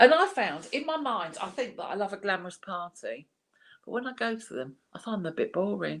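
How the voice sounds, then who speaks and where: Speaking fairly quickly with an English accent, a woman uses a medium pitch with very wide pitch swings, vocal fry and big swings in loudness. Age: 60s. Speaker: art class host. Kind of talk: casual chat.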